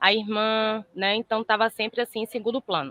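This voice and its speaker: A woman speaks at a fairly high pitch in a Bahian accent. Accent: Bahian accent, noticeable. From Brazil, Salvador, Bahia. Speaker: therapist student. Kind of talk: case presentation in online class.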